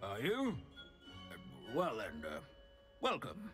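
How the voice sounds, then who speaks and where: Over clear music in the background, a man puts on a character voice at medium pitch and a fairly slow pace. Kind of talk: lecture. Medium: video game. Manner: monotonous, pedantic, rambling.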